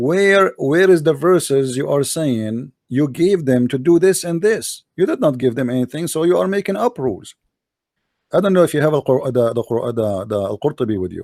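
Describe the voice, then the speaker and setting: On a very clean recording with a silent background, a man with an Arabic accent speaks at a moderate pace and a fairly high pitch, his pitch swinging very widely. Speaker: religious debater. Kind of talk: debate.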